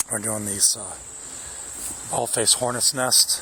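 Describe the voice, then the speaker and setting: A quiet man at a fairly slow pace, monotone and flat, over noticeable background noise. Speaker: pest control technician. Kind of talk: on-the-job demonstration. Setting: outdoors in a yard. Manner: quiet, low voice; halting, many fillers.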